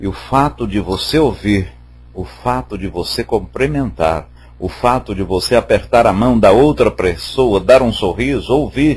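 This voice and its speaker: Speaking at a fairly slow pace, a man with a medium pitch uses lively intonation and some vocal fry. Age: 60s. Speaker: spiritist study group leader. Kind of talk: religious study talk. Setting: online voice chat room.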